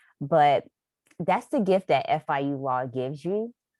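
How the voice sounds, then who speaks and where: In a North Florida accent, a woman speaks at a moderate pace with a very deep, low pitch, in a very clean recording with a silent background and a dry, close sound with no echo. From North Florida, Jacksonville. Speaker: lawyer, law school alumna. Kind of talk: panel discussion.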